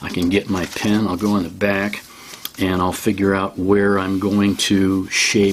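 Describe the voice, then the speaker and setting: The speech comes at a very slow pace. Noticeable background noise runs underneath. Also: man. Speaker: art teacher. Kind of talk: tutorial. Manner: casual, halting with fillers.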